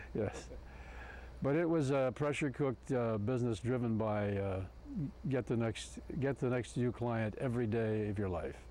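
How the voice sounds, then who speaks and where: A man's dark, mellow voice with a Midwestern American accent, very even loudness, and a moderate pace. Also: medium pitch for a man, ordinary pitch variation. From Ohio, Cincinnati. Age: 70s. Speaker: retired advertising executive, club member. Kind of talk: oral history interview. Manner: halting, many fillers.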